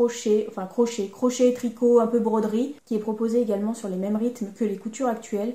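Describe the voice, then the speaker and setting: In a room with audible echo, a woman with a fairly high pitch and a dark, mellow tone speaks at a fairly quick pace. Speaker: sewing YouTuber. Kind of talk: casual vlog talk. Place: home room.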